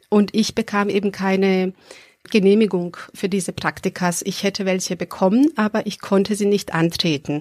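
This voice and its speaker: In a dry, close recording with no echo, a woman talks at a moderate pace and medium pitch with fairly even intonation. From Serbia. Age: 30s. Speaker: adult education worker. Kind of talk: interview. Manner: hesitant with fillers.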